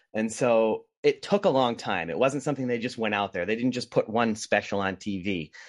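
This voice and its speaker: In an American accent, a man talks at a fairly quick pace with hardly any pauses, ordinary pitch variation and an unremarkable speaking voice. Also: medium pitch for a man. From US Northeast, Rhode Island. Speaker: documentary filmmaker. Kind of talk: casual interview.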